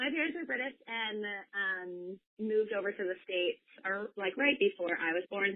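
With an American accent, a woman talks at a moderate pace and medium pitch, her intonation lively. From US West Coast, San Diego. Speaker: campus ministry worker. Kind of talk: casual chat.

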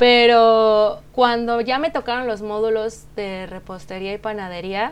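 A plain, everyday voice from a woman, fairly slow in pace and medium in pitch. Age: 30s. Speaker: pastry chef and bakery founder. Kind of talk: casual interview.

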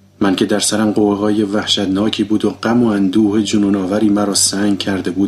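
Text read aloud, plainly.

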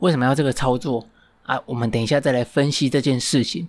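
A man talks at a fairly quick pace with a fairly high pitch. The recording is very clean, the background silent. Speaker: podcast host. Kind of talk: storytelling monologue. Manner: halting, many fillers.

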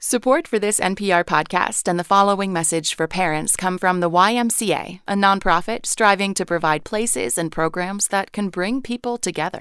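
In an ordinary speaking voice, the speech moves at a moderate pace with ordinary pitch variation and hardly any pauses. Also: woman, medium pitch for a woman. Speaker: sponsor message announcer. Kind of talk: scripted sponsor announcement read.

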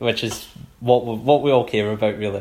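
The voice carries a Scottish accent and fairly even intonation, with noticeable background noise behind it. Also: man. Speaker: football podcast host. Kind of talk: casual chat.

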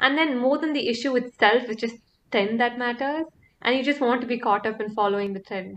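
A woman speaks at a fairly quick pace in a high voice. Her pitch variation is ordinary. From Coimbatore, South India (early years in UK). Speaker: podcast co-host. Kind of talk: casual chat.

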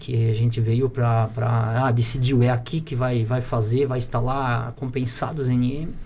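Heard with audible room echo, a man at medium pitch talks at a fairly slow pace in a monotone, flat intonation with hardly any pauses. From Santa Catarina, Brazil (rural interior). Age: 30s. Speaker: entrepreneur, plywood factory owner. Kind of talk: casual interview.

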